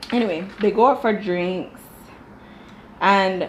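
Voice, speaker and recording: A woman with a Jamaican accent speaks at medium pitch in an animated tone with ordinary pitch variation. Noticeable background noise is present. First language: Dutch. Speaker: TV show reviewer. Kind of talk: casual commentary.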